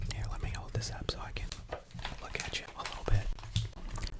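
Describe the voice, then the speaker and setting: With noticeable background noise behind it, the whispering moves at a moderate pace. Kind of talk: casual ASMR build-along talking to camera, reading fun facts. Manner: whispered, soft-spoken.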